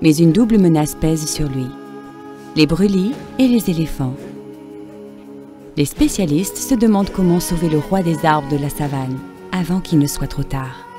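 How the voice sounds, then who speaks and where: With music playing in the background, a woman speaks at a moderate pace in a very deep, low voice, her intonation lively and broken by long, frequent pauses. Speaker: voice-over actress. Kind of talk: documentary narration.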